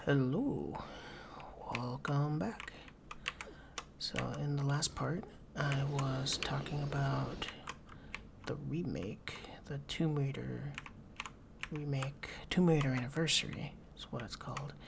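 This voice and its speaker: A soft-spoken man talks at a very slow pace, with long, frequent pauses. Background noise is noticeable. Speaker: ASMR content creator. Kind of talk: let's play game commentary.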